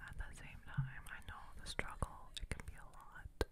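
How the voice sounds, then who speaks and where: A woman talks through loud background noise. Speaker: beauty vlogger. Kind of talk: casual vlog chat. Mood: encouraging, upbeat. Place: bathroom.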